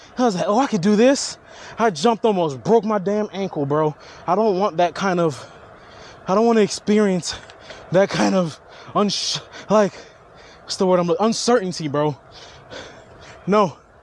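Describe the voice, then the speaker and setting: Amid noticeable background noise, a man with a high voice and ordinary pitch variation talks at a moderate pace, leaving long, frequent pauses. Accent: American. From Haitian family, South Florida. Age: 30s. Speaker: vlogger. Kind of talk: casual vlog monologue. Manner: animated.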